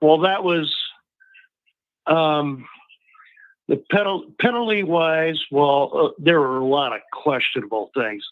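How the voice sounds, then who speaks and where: The pace is very slow. Long pauses come often. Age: 60s. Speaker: caller. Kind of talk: casual chat. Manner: halting.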